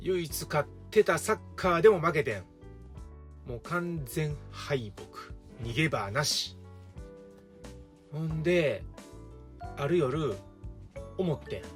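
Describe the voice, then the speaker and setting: Music plays behind a man speaking at a very slow pace. He leaves long pauses often. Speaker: teacher. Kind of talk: casual storytelling to camera. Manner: relaxed, humorous.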